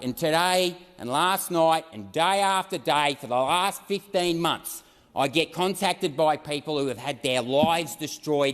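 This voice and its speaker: A man's passionate, fairly high-pitched voice with an Australian accent, at a moderate pace with ordinary pitch variation. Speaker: senator. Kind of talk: parliamentary speech.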